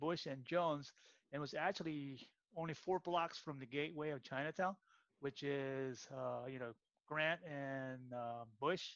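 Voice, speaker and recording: A man in an ordinary speaking voice, with a moderate pace and ordinary pitch variation. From San Francisco, US. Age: 60s. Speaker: martial arts practitioner. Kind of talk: casual interview.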